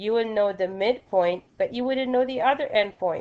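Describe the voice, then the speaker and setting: A woman in an ordinary speaking voice talks at a moderate pace with ordinary pitch variation. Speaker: math teacher. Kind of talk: recorded lesson.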